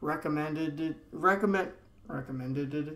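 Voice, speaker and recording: A man with a fairly high pitch talks at a fairly slow pace with fairly even intonation, and audible room echo surrounds him. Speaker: podcaster. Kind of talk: solo podcast monologue. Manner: monotonous; stuttering. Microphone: laptop recording, unedited.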